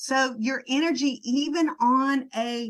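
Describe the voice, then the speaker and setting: Ordinary pitch variation from a woman in a Southern US accent. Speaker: network marketing trainer. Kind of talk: sales team training talk. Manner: casual, conversational.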